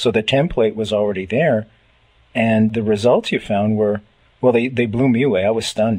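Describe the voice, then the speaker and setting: With a Canadian accent and a normal speaking voice, a man talks at a moderate pace and medium pitch, his intonation fairly even and his loudness very even. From Canada. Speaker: radio host. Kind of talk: radio interview.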